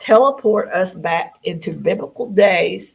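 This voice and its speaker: Somewhat breathy, a woman with an American accent speaks at medium pitch with ordinary pitch variation. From Tennessee, US South. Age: 60s. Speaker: UFO contactee. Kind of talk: interview.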